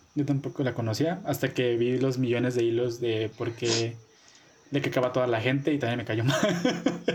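With a Mexican accent, the speaker talks at a moderate pace with very even loudness and fairly even intonation, against noticeable background noise. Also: man, medium pitch for a man. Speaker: podcast co-host. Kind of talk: casual chat.

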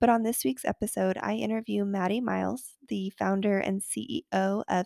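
The pace is fairly slow. The recording is very clean with a silent background and a dry, close sound with no echo. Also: woman. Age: 20s. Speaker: podcast host and wellness coach. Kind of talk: scripted intro; casual chat. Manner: animated.

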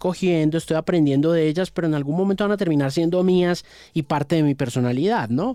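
On a very clean recording with a silent background, a man talks at a fairly quick pace in a high voice with a dark, mellow tone. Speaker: radio presenter. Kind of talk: interview. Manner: halting, with frequent repetitions.

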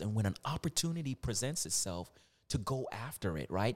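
A plain, everyday voice from a man with an American accent, medium pitch, moderate pace and lively intonation, on a very clean recording with a silent background. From US, Virginia. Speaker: motivational speaker. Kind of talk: casual interview chat.

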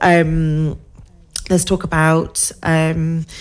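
A woman talks at a fairly low pitch. Noticeable background noise is present. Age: 40s. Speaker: social media manager and entrepreneur. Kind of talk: casual interview chat on local radio. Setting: radio studio.

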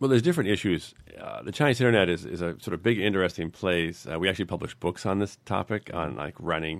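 Speaking very fast with lively intonation, a man has an American accent. The recording is very clean, with a silent background. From US New England. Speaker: tech company founder and CEO. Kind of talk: podcast interview.

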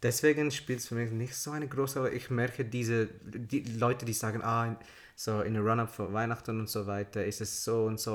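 Here a man talks with an English accent. His pace is fairly quick and his intonation fairly even. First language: English (speaking German). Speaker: podcast co-host. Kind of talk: casual chat. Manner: halting.

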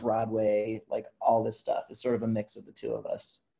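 Medium in pitch, this is a man's voice. It is a plain, everyday voice. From Vermont, US. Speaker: musician. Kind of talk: casual interview.

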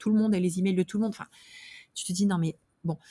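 A woman's dark, mellow, somewhat breathy voice with fairly even intonation, in a dry, close sound with no echo. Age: 30s. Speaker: startup founder. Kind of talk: interview. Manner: halting.

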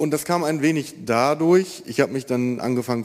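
Talking at a fairly quick pace, a man shows ordinary pitch variation. He has an ordinary speaking voice. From Germany, East Westphalia (Marienfeld). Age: 20s. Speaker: baker. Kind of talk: testimony. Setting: church.

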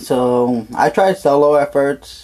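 A man's dark, mellow tone at a slow pace

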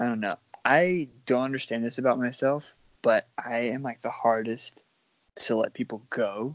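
A man at medium pitch, in an ordinary speaking voice, with ordinary pitch variation. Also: moderate pace. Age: 20s. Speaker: podcast co-host and social media creator. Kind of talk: casual chat.

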